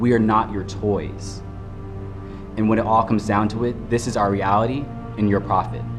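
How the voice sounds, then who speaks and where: A man talks at a fairly quick pace in a fairly low pitch, his intonation monotone and flat. Music plays in the background. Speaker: spoken word poet. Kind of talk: spoken word poetry performance.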